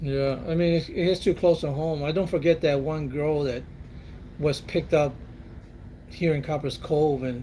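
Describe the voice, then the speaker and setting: A man with an American accent speaks at a moderate pace with long, frequent pauses, his fairly high, somewhat breathy voice dark and mellow in tone with fairly even intonation. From Texas, San Antonio. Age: 60s. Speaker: military veteran. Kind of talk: casual chat.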